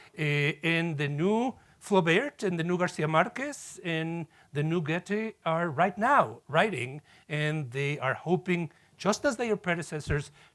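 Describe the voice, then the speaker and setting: A man with a Spanish accent talks at a fairly slow pace with lively intonation. The recording is very clean, with a silent background. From Mexico City, Mexico. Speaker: professor. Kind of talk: lecture.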